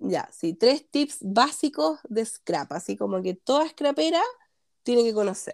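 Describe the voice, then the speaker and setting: She speaks with a Chilean accent at a fairly high pitch. Her pitch swings very widely. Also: fairly slow pace. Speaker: scrapbooking instructor. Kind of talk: casual chat.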